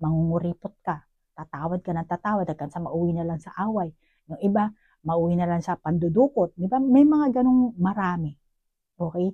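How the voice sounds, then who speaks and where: A somewhat breathy woman speaks at a fairly quick pace with a fairly low pitch, a dark, mellow tone and lively intonation. Her loudness swings widely, and the sound is dry and close with no echo. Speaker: tarot card reader. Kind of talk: psychic tarot reading. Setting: at home, neighbors nearby. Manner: conversational, direct address to viewer.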